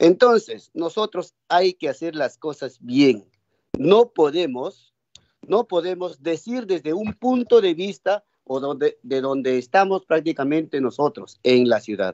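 A man speaks at a fairly slow pace in a fairly high pitch, swinging his pitch very widely. The sound is dry with no echo and the background quiet. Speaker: legislator. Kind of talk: parliamentary debate. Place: home room. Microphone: video call.

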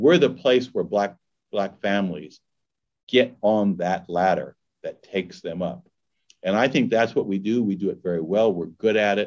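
A man's fairly low voice with an American accent, a normal speaking voice, ordinary pitch variation and a moderate pace. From Los Angeles, California. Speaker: nonprofit executive. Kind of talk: fireside chat interview.

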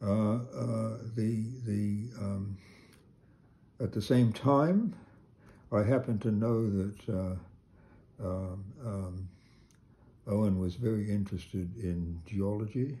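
Speaking at a very slow pace with long, frequent pauses, a man uses a fairly low, somewhat breathy voice with a dark, mellow tone and fairly even intonation. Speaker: sculptor. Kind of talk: casual chat. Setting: studio. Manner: halting.

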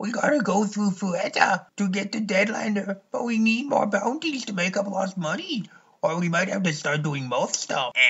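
This voice is a put-on character, set at a middle pitch. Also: moderate pace. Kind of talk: parody abridged dub. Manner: goofy, jokey.

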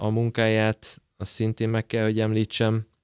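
A man speaks in a fairly low pitch against a quiet background, with a dry sound and no echo. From Debrecen, eastern Hungary; Hungary. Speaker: footballer; guest. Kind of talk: interview. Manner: halting, many repetitions and fillers. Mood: relaxed, cheerful. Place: studio. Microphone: studio mic.

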